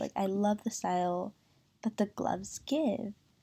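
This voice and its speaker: A woman speaks at a medium pitch in a dark, mellow tone. The recording is very clean, with a silent background. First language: Spanish. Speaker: doll collector YouTuber. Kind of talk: casual review vlog. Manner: hesitant, many fillers.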